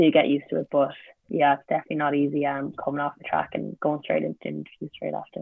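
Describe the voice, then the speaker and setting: A woman speaks with an Irish accent. Her pace is very fast. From Ireland, Limerick. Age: 20s. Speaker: sprinter and university student. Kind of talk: casual interview.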